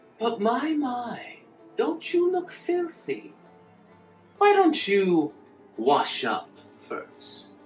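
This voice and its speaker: Over clear background music, a high put-on character voice moves at a very slow pace with long, frequent pauses. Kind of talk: audio drama dialogue.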